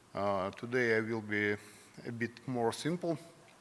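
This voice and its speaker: In a Russian accent, a man talks at a fairly slow pace with fairly even intonation. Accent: non-native English, Russian. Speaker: company president. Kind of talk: conference presentation. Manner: halting, many fillers.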